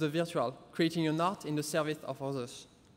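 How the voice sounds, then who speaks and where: A man with a French accent at a fairly quick pace, on a very clean recording with a silent background. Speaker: interactive experience designer. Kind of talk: conference talk.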